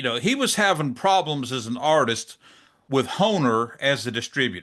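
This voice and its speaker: Against a quiet background, a man with a Southern US accent speaks at a moderate pace in a bright, sharp tone with very wide pitch swings. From US South, South Georgia; Georgia. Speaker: drum channel interviewer; podcast interviewer. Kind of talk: interview; interview questions. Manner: casual, hesitant with fillers. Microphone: studio mic.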